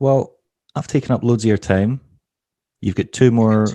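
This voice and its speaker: Against a quiet background, a man rattles along at a very fast pace in a dark, mellow tone with ordinary pitch variation. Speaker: podcast host. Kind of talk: casual interview.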